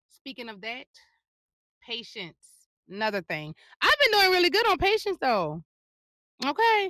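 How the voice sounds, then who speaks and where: A woman with a high pitch projects a raised, animated voice in a bright, sharp tone, with very wide pitch swings and big swings in loudness. Long, frequent pauses break it up, and the sound is dry and close with no echo. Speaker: fitness and lifestyle vlogger. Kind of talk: casual vlog monologue. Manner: fast.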